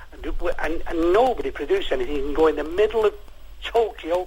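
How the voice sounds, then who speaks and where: A man with a Mancunian accent speaks at a fairly quick pace. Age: 60s. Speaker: caller. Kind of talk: phone-in radio chat. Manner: animated.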